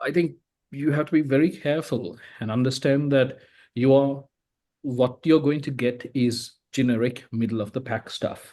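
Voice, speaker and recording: Against a quiet background, a man speaks at a moderate pace with a dark, mellow tone and fairly even intonation. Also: medium pitch for a man. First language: not English (English is his third language). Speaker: writer on AI panel. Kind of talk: panel discussion.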